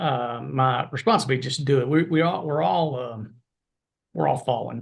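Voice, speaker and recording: Against a quiet background, a man with a somewhat breathy voice of medium pitch talks at a moderate pace with fairly even intonation. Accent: American. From US South (Arkansas). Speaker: veterinarian, professor. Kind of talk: interview podcast.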